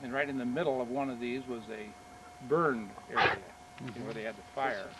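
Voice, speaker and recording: A man at medium pitch and a fairly quick pace, with noticeable background noise. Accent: Midwestern US. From eastern Nebraska, Missouri Valley. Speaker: retired engineer and local farmer. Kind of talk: oral history interview. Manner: hesitant, many fillers.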